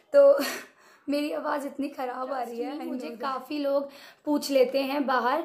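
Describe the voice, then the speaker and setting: Her pitch high, a woman talks with fairly even intonation. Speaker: beauty product reviewer. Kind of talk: product review vlog. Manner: casual Hinglish code-switching.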